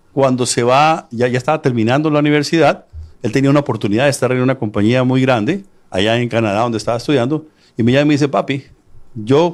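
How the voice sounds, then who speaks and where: A man speaks extremely quickly, his voice pitched in the mid range. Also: very even loudness. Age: 60s. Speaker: author and real estate businessman. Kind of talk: interview.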